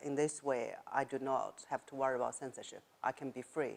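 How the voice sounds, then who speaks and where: Here a woman speaks with a Chinese accent. Her pitch is very deep and low. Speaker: writer and former journalist. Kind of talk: interview. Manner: halting.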